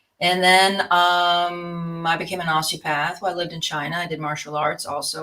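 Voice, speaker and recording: A woman speaks at a fairly low pitch. Her tone is bright and sharp. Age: 60s. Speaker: osteopath and author. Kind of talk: interview.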